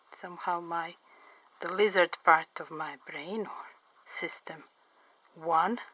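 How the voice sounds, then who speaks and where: A woman with a non-native accent talks very slowly, leaving long, frequent pauses. Her tone is bright and sharp, her intonation fairly even, and her loudness swings a lot. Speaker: portrait artist. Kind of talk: drawing tutorial commentary.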